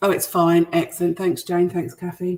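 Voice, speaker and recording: With a British accent, the voice has a dark, mellow tone. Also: woman. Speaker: cooking show host. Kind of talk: live cooking demonstration. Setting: livestream to online groups. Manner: hesitant, many fillers; quiet.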